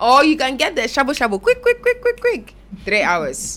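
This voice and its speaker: A woman at a fairly quick pace with an animated tone. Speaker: radio host. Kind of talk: casual chat. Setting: studio.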